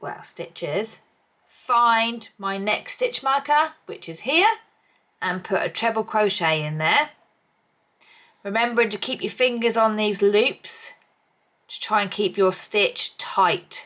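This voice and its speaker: A woman's fairly high voice at a very slow pace, broken by long, frequent pauses. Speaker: crochet tutor. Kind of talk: tutorial. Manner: casual, chatty.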